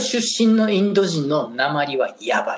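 There is noticeable background noise as a man talks with lively intonation in a Kansai accent. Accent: Kansai dialect Japanese. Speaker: podcast co-host, hairdresser. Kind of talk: casual chat. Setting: remote call from abroad, evening.

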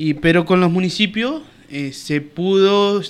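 A man speaks with ordinary pitch variation. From Uruguay, Colonia department. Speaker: businessman and local politician. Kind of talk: radio interview. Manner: halting, many repetitions and fillers.

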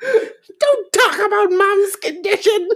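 A put-on character voice, squeaky and extremely high in pitch, moves at a fairly slow pace.

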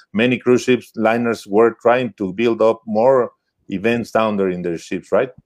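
Speaking in a Spanish accent, a man keeps a fairly slow pace. His pitch sits in the medium range. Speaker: webinar host. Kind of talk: live bilingual webinar interview.

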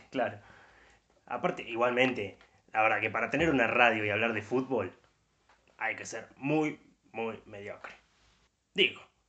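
A man's medium-pitched voice in a Rioplatense accent, fairly slow with long, frequent pauses, ordinary pitch variation and big swings in loudness. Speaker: podcast co-host. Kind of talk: casual chat.

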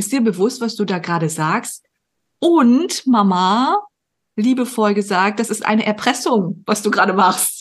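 Somewhat breathy and animated, a woman speaks at a fairly slow pace in a fairly high pitch with ordinary pitch variation. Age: 30s. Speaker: podcast host and performance coach. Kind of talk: casual interview chat.

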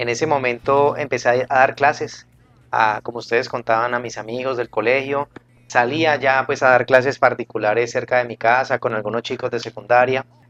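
The man speaks at a fairly quick pace with monotone, flat intonation, the sound dry and close with no echo. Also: medium pitch for a man. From Colombia, Cali. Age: 40s. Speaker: math teacher and YouTube educator. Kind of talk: radio interview.

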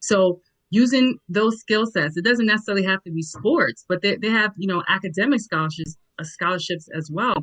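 The sound is dry and close with no echo. A woman with a plain, everyday voice speaks at a medium pitch with lively intonation. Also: fairly quick pace. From New York (Nigerian born). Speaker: educator and digital entrepreneur. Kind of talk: panel discussion.

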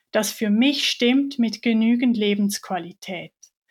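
Very slowly and at a fairly high pitch, a woman talks with ordinary pitch variation on a very clean recording with a silent background. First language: Swiss German (speaking German). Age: 30s. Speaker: chronic pain patient sharing her story. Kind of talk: personal testimony in interview.

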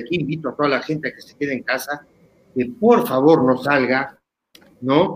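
Lively intonation marks this man's fairly high pitch. He talks at a moderate pace. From Uruguay. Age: 50s. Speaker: former footballer. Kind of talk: interview. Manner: halting, repetitive.

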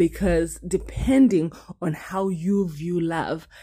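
A woman speaks with a fairly low pitch. Her voice is somewhat breathy, with ordinary pitch variation. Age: 20s. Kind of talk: devotional talk. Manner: conversational with fillers and repetitions.

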